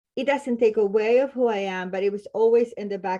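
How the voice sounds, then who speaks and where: A woman's dark, mellow voice in a Spanish accent, with ordinary pitch variation. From Latin America, Spanish-speaking. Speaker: clinical social worker. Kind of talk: podcast interview.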